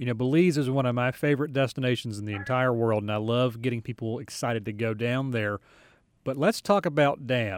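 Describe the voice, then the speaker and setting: Captured in a very clean recording with a silent background, a man talks in an unremarkable speaking voice of medium pitch with ordinary pitch variation. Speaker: co-host. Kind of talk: radio interview.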